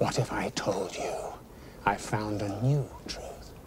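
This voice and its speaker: A man whispering in a put-on character voice at a fairly slow pace. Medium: short film. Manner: intense, brooding.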